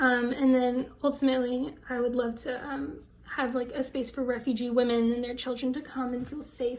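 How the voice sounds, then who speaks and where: A woman with an American accent speaks at a moderate pace in a high pitch, her intonation flat and monotone. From United States. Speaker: fashion design student. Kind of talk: casual project walkthrough vlog.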